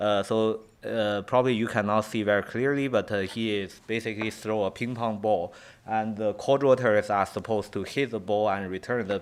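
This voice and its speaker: The man's fairly low voice moves at a moderate pace, his intonation fairly even. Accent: Chinese. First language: Chinese. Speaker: professor. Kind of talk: lecture. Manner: halting.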